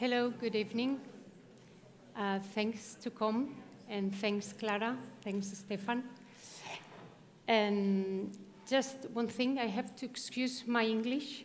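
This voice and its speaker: A woman with a Spanish accent speaks very slowly at a fairly high pitch, somewhat breathy and with fairly even intonation, pausing long and often amid audible room echo. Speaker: architect. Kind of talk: lecture. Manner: halting.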